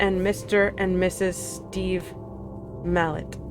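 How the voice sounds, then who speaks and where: A woman's voice with music playing behind it. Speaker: streamer. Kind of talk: scary story reading. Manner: halting, fumbling reading.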